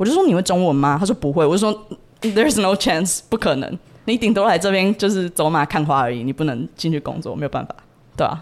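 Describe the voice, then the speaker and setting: A woman talks at a very fast pace with lively intonation and a medium pitch. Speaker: university student abroad. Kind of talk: casual interview chat.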